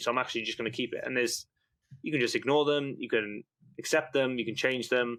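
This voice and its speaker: A man with a British accent, bright and sharp in tone, at a medium pitch, with fairly even intonation and a very fast pace. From UK. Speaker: newsletter founder and investor. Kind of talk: podcast interview. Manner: rambling, loosely structured speech.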